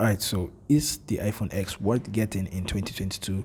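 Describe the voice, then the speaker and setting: In a somewhat breathy, dark and mellow voice of fairly low pitch, a man speaks at a moderate pace with fairly even intonation. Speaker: tech reviewer. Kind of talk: tech review monologue. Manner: slightly monotone.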